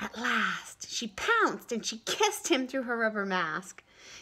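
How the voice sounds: Reading in a natural reading voice.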